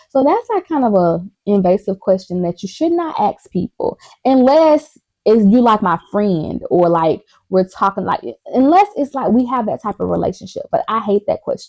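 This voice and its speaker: A woman speaks loudly in an animated tone, her pitch fairly high. Her pace is moderate and her pitch swings very widely. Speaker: vlogger. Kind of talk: casual chat.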